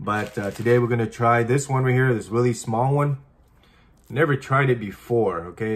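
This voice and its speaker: Ordinary pitch variation from a man. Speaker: food vlogger. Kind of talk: casual vlog chat. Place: home room.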